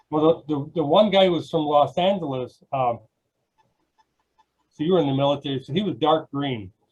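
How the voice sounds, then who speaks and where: Somewhat breathy and fairly high in pitch, a man with an American accent speaks at a moderate pace with ordinary pitch variation and long, frequent pauses. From Wisconsin, US Upper Midwest. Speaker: podcast host, self-published author. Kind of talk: casual interview chat.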